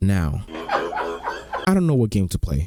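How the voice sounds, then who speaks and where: A man talks while music plays in the background. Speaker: YouTuber reacting to animations. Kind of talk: reaction video commentary. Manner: casual, chatty.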